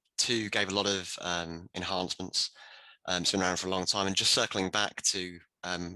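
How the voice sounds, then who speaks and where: A man with a British accent speaks at a very deep, low pitch and a moderate pace, in a bright, sharp tone with monotone, flat intonation. The sound is dry and close with no echo, and the background is quiet. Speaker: IT professional. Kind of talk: round table discussion.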